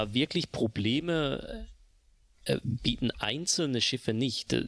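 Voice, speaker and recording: In a very clean recording with a silent background, a man speaks with vocal fry in a dry, close sound with no echo. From Switzerland. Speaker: video game player, podcast guest. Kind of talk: casual chat.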